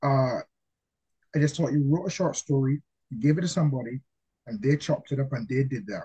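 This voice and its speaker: In a dry, close sound with no echo, a man with a somewhat breathy, dark, mellow tone and fairly high pitch speaks at a fairly quick pace with ordinary pitch variation and long, frequent pauses. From Barbados. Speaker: comic book writer. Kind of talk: interview.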